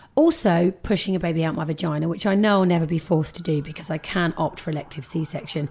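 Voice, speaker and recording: Speaking with a British accent, a woman uses a fairly low voice with ordinary pitch variation. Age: 30s. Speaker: podcast host. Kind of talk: casual chat.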